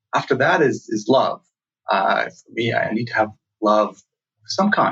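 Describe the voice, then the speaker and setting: A man talks at a moderate pace with a non-native accent. His pitch sits in the medium range. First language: not English. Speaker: startup founder and CEO. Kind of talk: interview. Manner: halting, many fillers and repeats.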